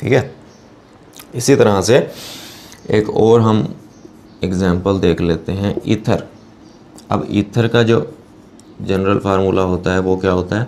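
Over light background noise, a man with a fairly low voice speaks fairly slowly with fairly even intonation and long, frequent pauses. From Pakistan. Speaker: chemistry teacher. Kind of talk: lecture. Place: classroom. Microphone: lapel.

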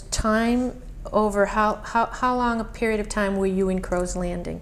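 The delivery is monotone, with flat intonation and a fairly slow pace. Light background noise can be heard. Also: woman. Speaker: oral history interviewer. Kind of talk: oral history interview. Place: home room.

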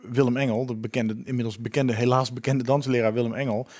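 A man talking at a very fast pace over a quiet background. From Netherlands. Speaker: co-host, media company boss; co-host. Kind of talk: casual chat. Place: studio. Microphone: headset.

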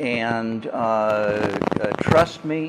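A man's voice, with noticeable background noise. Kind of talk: interview answer. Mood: reflective, calm. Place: home room. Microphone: lapel.

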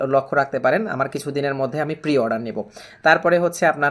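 A man with a normal speaking voice, fairly high pitch and fairly even intonation, in a very clean recording with a silent background. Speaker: exam prep tutor. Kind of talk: casual talk to camera.

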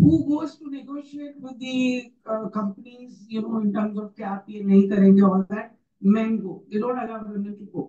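Somewhat breathy, a woman with an Indian accent talks at a moderate pace with ordinary pitch variation. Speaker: NGO leader. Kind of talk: panel discussion.

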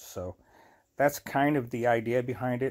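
A man speaks with fairly even intonation. The background is quiet. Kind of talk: casual vlog chat. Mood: earnest, grateful. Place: home room. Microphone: phone near.

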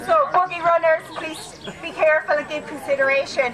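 Projecting a raised voice over crowd noise in the background, a woman talks at a moderate pace with ordinary pitch variation. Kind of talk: pre-race briefing announcement. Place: forest.

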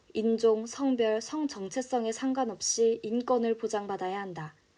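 Fairly slow, fairly high woman's voice with lively intonation, an unremarkable speaking voice. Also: hardly any pauses. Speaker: broadcaster / announcer. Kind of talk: card-news narration, informative.

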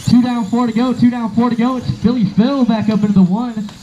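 With faint background noise, a man speaks at a fairly quick pace in an extremely high pitch with little pitch movement and a dark, mellow tone.

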